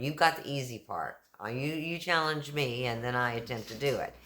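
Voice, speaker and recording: Speaking with a Texan accent, a woman has a very deep, low pitch. Her tone is animated, with ordinary pitch variation. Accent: Texan, y'all. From Texas. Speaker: YouTuber, kindness channel host. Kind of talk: casual vlog talk.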